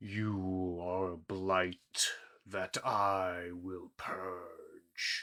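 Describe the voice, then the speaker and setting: A man puts on a character voice with a very deep, low pitch. He speaks at a very slow pace with monotone, flat intonation. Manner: ominous, old.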